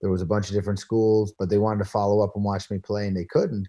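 A man with a Newfoundland accent, fairly low-pitched, with a dark, mellow tone and a dry, close sound free of echo. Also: quiet background. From Newfoundland, Canada. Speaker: former pro basketball player. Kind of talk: interview. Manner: animated.

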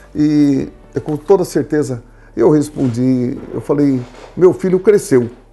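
A man talks at a fairly high pitch over background music. His pitch varies in an ordinary way. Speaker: retired company founder. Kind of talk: casual chat.

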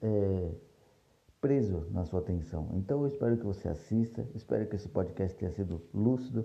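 Speaking at a moderate pace, a man with a fairly low pitch, ordinary pitch variation and a dark, mellow tone sounds somewhat breathy. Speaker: podcast host, series reviewer. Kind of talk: casual solo review monologue.

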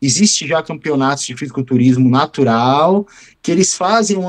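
With lively intonation, a man speaks at a moderate pace in a dry, close sound with no echo. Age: 40s. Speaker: physical education teacher and ex-steroid user. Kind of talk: interview. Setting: remote call.

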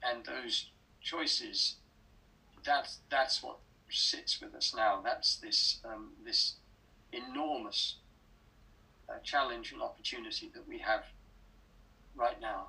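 A man with an English accent at a very slow pace, with long, frequent pauses and big swings in loudness. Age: 70s. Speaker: writer and speaker. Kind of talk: interview. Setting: video call.

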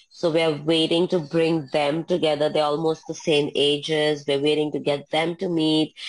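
A woman's very deep, low voice in a monotone, flat intonation, at a very even loudness with hardly any pauses. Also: moderate pace. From India. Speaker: Pilates instructor. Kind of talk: interview.

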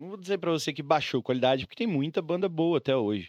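The man's voice has a dry, close sound with no echo against a quiet background. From Brazil, Mato Grosso do Sul (Campo Grande). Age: 30s. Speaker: DJ. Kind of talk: casual chat.

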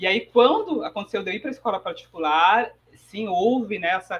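At a moderate pace, a woman speaks with lively intonation. Her voice is fairly high and somewhat breathy. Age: 40s. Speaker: economist and financial educator. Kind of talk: interview.

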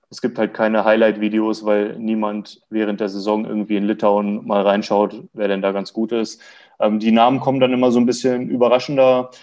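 Against a quiet background, a man talks at a moderate pace and medium pitch in a monotone, flat delivery. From Lower Saxony, Germany (near Hildesheim). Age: 20s. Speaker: basketball fan club draft expert. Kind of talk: casual sports podcast chat.

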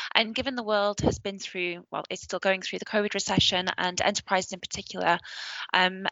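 A woman speaks fairly quickly with a northern English accent and vocal fry. Her pitch is medium and her intonation fairly even. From northern England. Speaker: podcast host. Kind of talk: scripted news roundup and interview.

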